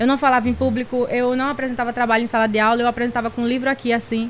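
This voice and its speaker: This is a woman speaking at a high pitch. There is noticeable background noise. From Recife, Pernambuco, Brazil. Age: 30s. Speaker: digital influencer and makeup artist. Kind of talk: casual interview chat. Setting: studio. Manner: talkative, animated.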